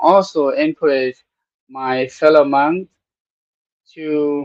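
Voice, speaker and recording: A man with a Thai accent and a fairly high pitch speaks at a very slow pace. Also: dry, close sound with no echo. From Thailand. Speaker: Buddhist monk, program host. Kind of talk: casual talk show monologue. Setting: studio. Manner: halting, many fillers.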